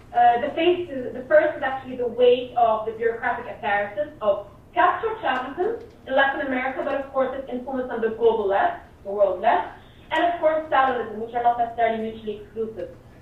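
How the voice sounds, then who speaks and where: Over noticeable background noise, a woman talks at a fairly quick pace. Her voice is high, with lively intonation. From Syria. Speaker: activist. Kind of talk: political talk. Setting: remote call.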